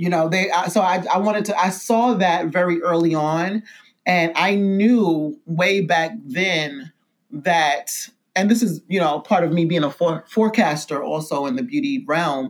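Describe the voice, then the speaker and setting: A woman with a New York accent speaks at a fairly slow pace in a fairly low pitch, her intonation lively. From New York City (Brooklyn, Bed-Stuy). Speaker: skincare brand founder. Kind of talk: casual interview. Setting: spa studio.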